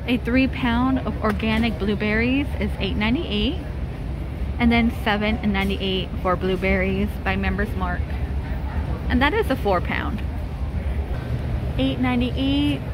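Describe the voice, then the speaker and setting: Speaking very slowly with long, frequent pauses, a woman is heard in a dry, echo-free sound over noticeable background noise. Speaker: shopping vlogger. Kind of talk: casual vlog chat. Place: shop. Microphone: phone near.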